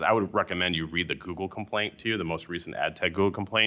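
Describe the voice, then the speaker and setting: The intonation is fairly even. The speaker is a man. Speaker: antitrust lawyer. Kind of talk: panel talk. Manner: fast.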